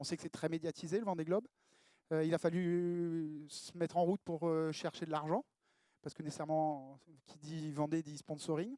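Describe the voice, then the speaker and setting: A man with a fairly high voice and a dark, mellow tone speaks at a moderate pace with fairly even intonation but big swings in loudness. The recording is very clean with a silent background and a dry, close sound with no echo. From southern France (Mediterranean). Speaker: professional sailor. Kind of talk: conference talk. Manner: halting, many fillers.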